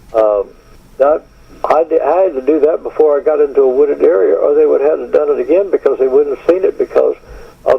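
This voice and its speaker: With an American accent, a man speaks at a fairly quick pace over noticeable background noise. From Texas. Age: 80s+. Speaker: retired stuntman and actor. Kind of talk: interview. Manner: halting, many fillers.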